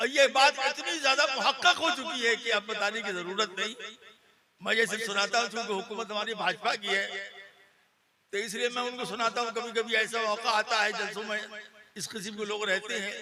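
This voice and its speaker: A raised, projected male voice with a high pitch. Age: 70s. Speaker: Islamic cleric. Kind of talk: religious speech.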